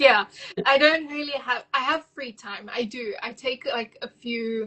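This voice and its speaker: A woman talks at a fairly slow pace in a high voice with ordinary pitch variation. Her loudness swings a great deal. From South Africa. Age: 20s. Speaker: virtual assistant business owner. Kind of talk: casual interview. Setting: live video call.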